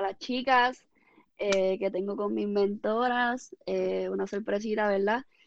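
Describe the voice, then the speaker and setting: Fairly slow and fairly even in intonation, a woman talks in an ordinary speaking voice pitched fairly high. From Puerto Rico, Ponce area. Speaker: fitness coach and former athlete. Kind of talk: interview.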